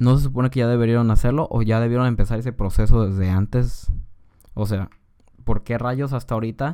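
On a very clean recording with a silent background, a man with a Mexican accent speaks at medium pitch with fairly even intonation and a dark, mellow tone. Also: fairly quick pace. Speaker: podcaster. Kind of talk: casual political commentary. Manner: informal, slangy.

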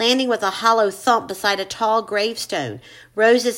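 An unforced reading voice with mostly level intonation

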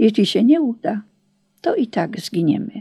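In a dry, close sound with no echo, a woman speaks at a fairly slow pace in a dramatic, solemn tone that is dark and mellow, with vocal fry. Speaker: audiobook narrator and memoirist. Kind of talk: audiobook narration of memoir, dramatic wartime storytelling with solemn, devout tone. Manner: dramatic, solemn, measured pace with suspenseful emphasis; earnest and reverent.

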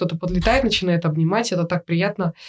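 Very fast delivery over noticeable background noise, with fairly even intonation. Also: woman. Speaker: photographer. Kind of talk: interview. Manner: halting.

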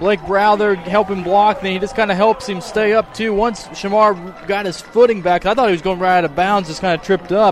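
A man speaks with a high pitch, a relaxed tone and fairly even intonation, moving at a fairly quick pace with hardly any pauses over noticeable background noise. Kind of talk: color commentary, analyzing plays. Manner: conversational, explanatory, relaxed analyst.

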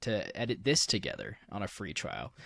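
The voice belongs to a man. Behind him the background is silent, and the recording is very clean. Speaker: podcast host, digital media worker. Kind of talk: casual chat.

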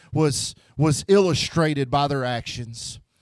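A man talks in a Memphis accent at a fairly high pitch. His tone is animated, with ordinary pitch variation. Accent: US Southern (Memphis). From Memphis, Tennessee. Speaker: pastor. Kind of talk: sermon. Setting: church.

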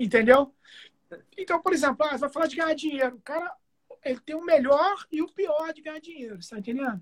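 A man's extremely high voice, with ordinary pitch variation, big swings in loudness, and a dry, close sound with no echo. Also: fairly quick pace. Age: 40s. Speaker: guitarist and music producer. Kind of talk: casual chat.

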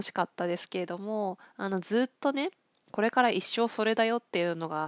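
In a very clean recording with a silent background and a dry, close sound with no echo, a woman talks at a moderate pace with ordinary pitch variation and a plain, everyday voice. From Akita, Japan. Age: 40s. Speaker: counselor. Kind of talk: solo podcast monologue. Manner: relaxed, many fillers.

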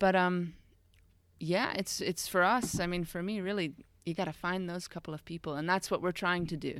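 A normal speaking voice with an American accent keeps a moderate pace and fairly even intonation on a very clean recording with a silent background. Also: woman, fairly low pitch for a woman. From United States. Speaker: founder of an expat integration company. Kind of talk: podcast interview.

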